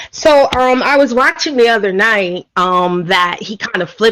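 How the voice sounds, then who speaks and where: A woman in a New York accent speaks at a moderate pace with lively intonation. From New York City, Brooklyn. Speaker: caller. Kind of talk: casual chat. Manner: loud.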